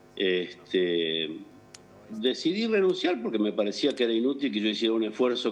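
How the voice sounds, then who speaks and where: An ordinary speaking voice at a moderate pace. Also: man. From Argentina, Entre Ríos. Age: 60s. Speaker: doctor. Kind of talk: interview.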